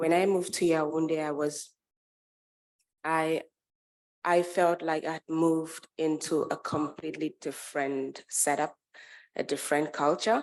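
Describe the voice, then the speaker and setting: A woman speaks at a fairly slow pace with a very deep, low pitch and monotone, flat intonation. Long pauses come often. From Anglophone Cameroon, Bamenda. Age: 30s. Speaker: cultural activist. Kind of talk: talk to an audience. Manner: halting.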